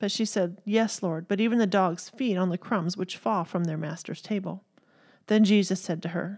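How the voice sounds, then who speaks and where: Speaking with a Texan accent, a woman keeps a medium pitch, fairly even intonation and a moderate pace. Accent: Southern US, Texan. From Texas.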